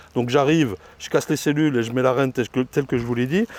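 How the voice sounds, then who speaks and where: The speaker is a man. His voice sounds dry and close with no echo, over noticeable background noise. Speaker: beekeeper. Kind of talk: casual vlog commentary while working. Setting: outdoors at apiary. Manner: loud; halting.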